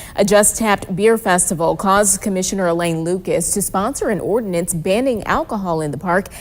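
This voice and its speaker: A woman speaks at a medium pitch with ordinary pitch variation. She talks at a fairly quick pace in an ordinary speaking voice. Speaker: news anchor and reporter. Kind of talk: local TV morning news anchoring. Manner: polished, upbeat broadcast delivery.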